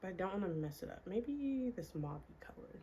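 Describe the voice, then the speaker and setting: A woman talks at a moderate pace with lively intonation. Her tone is dark, mellow and somewhat breathy. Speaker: beauty and lifestyle vlogger. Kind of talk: casual chat. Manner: soft-spoken.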